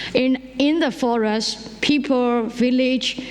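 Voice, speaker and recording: Background noise is noticeable in this clip. The woman's intonation stays fairly even. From Myanmar, Karen community. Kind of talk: conference panel talk. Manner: halting, many fillers and restarts.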